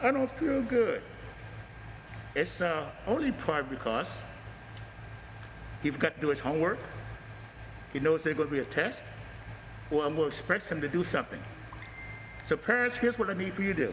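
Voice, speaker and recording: A loud voice at a fairly quick pace, with very wide pitch swings and long, frequent pauses, over noticeable background noise. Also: man, fairly high pitch for a man. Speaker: martial arts instructor. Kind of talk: promotional talk.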